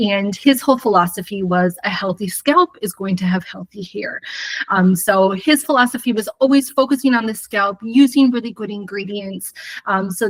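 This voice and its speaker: Here is a normal speaking voice with an American accent, at a moderate pace with ordinary pitch variation. The sound is dry and close, with no echo. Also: woman. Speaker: hair colour educator. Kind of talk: live webinar presentation.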